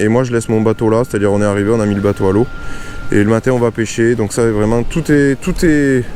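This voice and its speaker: A man at a fairly quick pace, over noticeable background noise. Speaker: fishing YouTuber. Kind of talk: casual vlog narration. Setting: outdoors on a boat on a lake.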